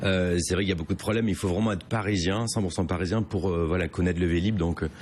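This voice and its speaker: This man's voice is very deep and low in pitch, with very even loudness. He talks at a very fast pace with fairly even intonation. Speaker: comedian. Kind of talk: interview. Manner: halting.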